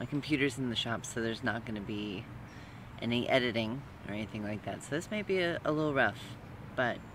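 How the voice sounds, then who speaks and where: Talking at a fairly quick pace with ordinary pitch variation, this voice sounds dry with no echo, and background noise is noticeable. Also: man. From Utah, US. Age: 30s. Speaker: vlogger, transgender man and student. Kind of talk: casual personal vlog monologue. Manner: halting, with many fillers. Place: garden. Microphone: phone near.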